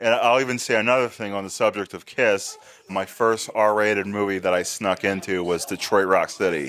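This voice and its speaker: Fairly even intonation and a moderate pace in an ordinary speaking voice. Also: man. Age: 30s. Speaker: podcast host and horror fan. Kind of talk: casual interview chat.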